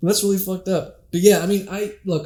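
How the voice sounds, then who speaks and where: The voice belongs to a man and is somewhat breathy. He talks fairly quickly. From Canada. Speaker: podcast host and amateur comedian. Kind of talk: casual chat. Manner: casual with frequent fillers.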